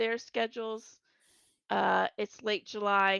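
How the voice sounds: A woman speaks at a slow pace and medium pitch, with a clear, smooth, fairly bright tone and vocal fry. The sound is dry and close, with no echo.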